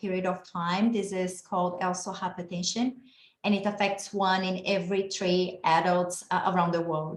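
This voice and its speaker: A woman with a Brazilian accent talks at medium pitch with monotone, flat intonation. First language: Portuguese. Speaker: geneticist and researcher. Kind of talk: lecture.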